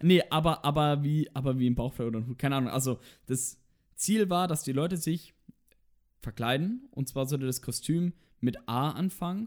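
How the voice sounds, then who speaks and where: Recorded very cleanly against a silent background, a man talks in an animated tone at a moderate pace with ordinary pitch variation. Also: fairly high pitch for a man. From Franconia, Germany (near Nuremberg). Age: 20s. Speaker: podcast co-host, university student. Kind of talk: casual chat. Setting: in the same room as co-host.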